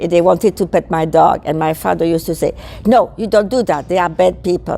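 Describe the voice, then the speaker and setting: A woman speaks with a fairly low pitch. Her pitch varies in an ordinary way. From Belgium, French-speaking south. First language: French. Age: 80s+. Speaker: veterans supporter, war childhood witness. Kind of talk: interview.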